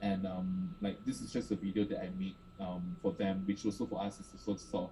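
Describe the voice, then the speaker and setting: Fairly quick and lively in intonation, a man speaks with a fairly low pitch, a dark, mellow tone and vocal fry. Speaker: art space director. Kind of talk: panel presentation. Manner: fast.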